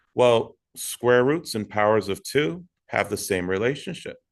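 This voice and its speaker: A man at a medium pitch with ordinary pitch variation, a fairly slow pace, and a quiet background. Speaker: middle school math teacher. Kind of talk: recorded tutorial lesson. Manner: verbose.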